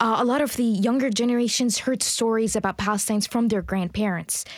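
Heard over a silent background in a very clean recording, a plain, everyday voice speaks with ordinary pitch variation. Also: woman. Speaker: rally participant. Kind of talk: field interview. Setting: outdoors.

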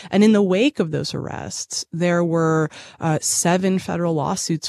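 At a moderate pace, a woman with a normal speaking voice and fairly low pitch talks in a dry, close sound with no echo over a quiet background. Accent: American. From Boston. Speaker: journalist and podcast host. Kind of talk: interview.

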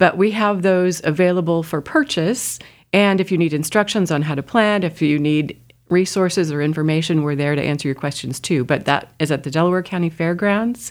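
A woman with an unremarkable speaking voice and an American accent talks at a fairly quick pace, her pitch fairly low with ordinary variation. The recording is very clean with a silent background. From Indiana. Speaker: master gardener association treasurer. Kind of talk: radio interview. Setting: studio.

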